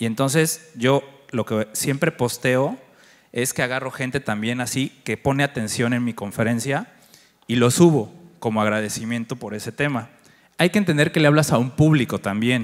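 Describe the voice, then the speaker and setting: The speech moves at a moderate pace with ordinary pitch variation. Behind it, the background is quiet. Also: man. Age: 40s. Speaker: agency director and conference speaker; conference speaker. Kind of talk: conference talk. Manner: conversational, interacts with audience. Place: stage. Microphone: handheld.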